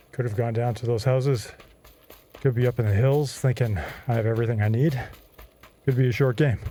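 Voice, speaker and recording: A man speaks at a fairly quick pace and medium pitch with fairly even intonation and long, frequent pauses, amid noticeable background noise. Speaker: gaming fitness vlogger. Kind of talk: gameplay commentary while exercising. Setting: pedaling an exercise cycle while gaming.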